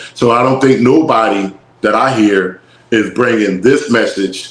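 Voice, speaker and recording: A man with an American accent at medium pitch, ordinary pitch variation and a very slow pace. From North Philadelphia, US. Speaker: rapper and musician. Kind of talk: casual interview chat.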